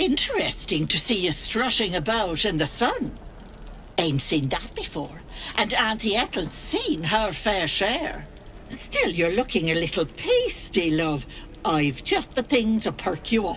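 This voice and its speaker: Over clear background noise, a put-on character voice speaks at a middle pitch and a fairly slow pace. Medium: video game. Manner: chatty, cooing, full of endearments.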